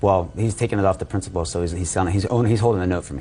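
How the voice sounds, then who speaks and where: A man speaks very fast in a fairly low pitch, somewhat breathy, with a dark, mellow tone. His pitch varies in an ordinary way. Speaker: defendant in small claims case. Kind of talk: courtroom testimony.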